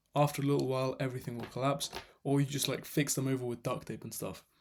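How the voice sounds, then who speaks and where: Monotone, flat delivery in a non-native accent. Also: man. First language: not English. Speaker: fitness coach. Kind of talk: tutorial. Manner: casual, self-correcting.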